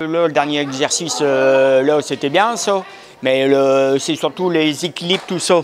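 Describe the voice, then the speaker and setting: Fairly slow speech from a man with a fairly high pitch and ordinary pitch variation, against noticeable background noise. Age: 60s. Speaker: senior fitness class participant. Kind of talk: short interview. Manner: halting, hesitant.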